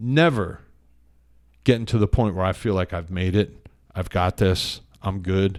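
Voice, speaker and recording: Very deep and low, a man's voice moves at a fairly slow pace with long, frequent pauses and ordinary pitch variation. The recording is very clean with a silent background. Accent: American. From Pennsylvania. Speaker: author and meditation practitioner. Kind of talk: podcast interview, casual chat. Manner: conversational with many fillers.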